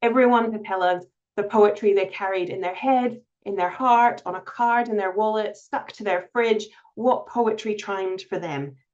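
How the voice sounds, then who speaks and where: With a Scottish accent, a woman speaks at a moderate pace and with fairly even intonation. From Scotland (Glasgow and Edinburgh). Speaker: reading charity CEO. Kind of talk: webinar presentation. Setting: online webinar.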